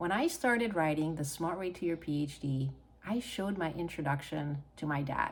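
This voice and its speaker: A woman with a Hungarian accent, very deep and low in pitch, at a fairly slow pace with ordinary pitch variation. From Hungary. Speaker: author and PhD coach. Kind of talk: personal story monologue.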